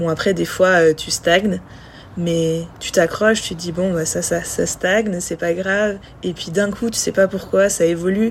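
A woman with a medium-pitched voice speaks at a fairly slow pace and with fairly even intonation over noticeable background noise. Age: 20s. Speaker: professional cross triathlete. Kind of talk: casual interview. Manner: halting, many repetitions and fillers.

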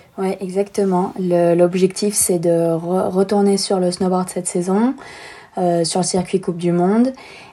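With monotone, flat intonation, a woman of medium pitch speaks at a fairly slow pace. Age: 20s. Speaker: professional snowboarder. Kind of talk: interview.

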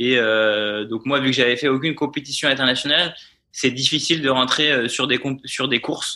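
The man's medium-pitched voice holds fairly even intonation while keeping a moderate pace. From France, Vendée. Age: 20s. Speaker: paratriathlete and physiotherapist. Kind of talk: interview. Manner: hesitant, many fillers.

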